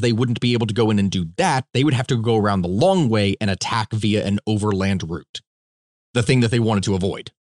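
Speaking at a fairly quick pace, a man with medium pitch and ordinary pitch variation sounds dry and close with no echo. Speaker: podcast host. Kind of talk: casual chat. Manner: excitable, talks a lot.

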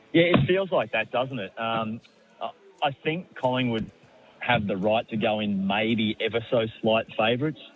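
Over noticeable background noise, a man with an Australian accent speaks at a moderate pace with lively intonation. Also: medium pitch for a man. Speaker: sports journalist. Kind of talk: sports radio interview. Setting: phone line.

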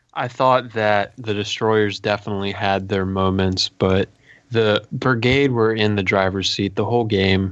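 A man with an ordinary speaking voice talks at a fairly slow pace and fairly low pitch, with fairly even intonation and very even loudness. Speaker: podcast co-host, fantasy player. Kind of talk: casual sports podcast chat.

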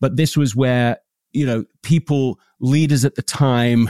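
Recorded dry and close with no echo, a man speaks fairly slowly in a dark, mellow tone. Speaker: podcast host. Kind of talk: interview conversation. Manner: enthusiastic.

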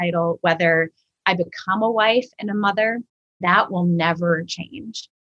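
With an American accent, a woman speaks in an ordinary speaking voice, fairly low in pitch with ordinary pitch variation, in a dry, close sound with no echo. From Minnesota. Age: 40s. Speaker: church ministry director and author. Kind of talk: podcast interview.

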